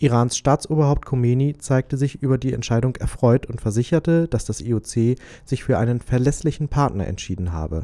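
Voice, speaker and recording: On a very clean recording with a silent background, a man speaks at medium pitch and a moderate pace, his tone dark and mellow, with ordinary pitch variation. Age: 20s. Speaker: radio host. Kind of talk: news reading; casual chat.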